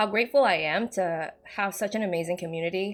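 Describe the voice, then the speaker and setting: Music plays in the background as a woman with a southern Chinese accent speaks at a fairly quick pace. Her pitch is fairly low, with ordinary variation. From Indonesia. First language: Hakka. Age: 20s. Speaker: gaming lore YouTuber. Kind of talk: casual Q&A chat. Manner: relaxed, chatty.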